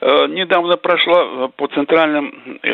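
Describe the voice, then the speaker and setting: With noticeable background noise in the mix, a man's speech carries ordinary pitch variation. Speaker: caller. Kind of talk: call-in question. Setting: phone call.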